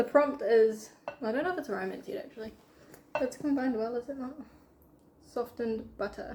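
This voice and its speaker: A woman with a New Zealand accent talks at a moderate pace, her high pitch showing ordinary pitch variation. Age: young. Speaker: aspiring novelist and student. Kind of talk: casual chat while baking.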